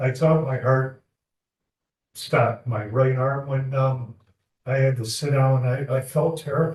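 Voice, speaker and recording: Somewhat breathy and medium in pitch, a man speaks at a fairly slow pace in monotone, flat intonation with long, frequent pauses. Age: 70s. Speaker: defendant. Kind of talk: courtroom testimony. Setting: courtroom.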